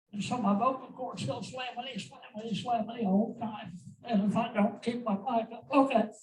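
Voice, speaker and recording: A man speaks with an American accent at an extremely high pitch. His pitch variation is ordinary. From Oklahoma, Pawhuska. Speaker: local activist and blogger. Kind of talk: public talk. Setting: stage at meeting with audience.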